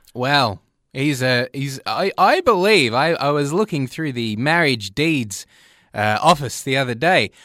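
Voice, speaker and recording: With an Australian accent, a man speaks at a fairly slow pace, his fairly high pitch carrying lively intonation and a bright, sharp tone. The recording is very clean with a silent background, and the sound is dry and close with no echo. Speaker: comedy radio show co-host. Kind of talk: comedic radio banter. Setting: studio.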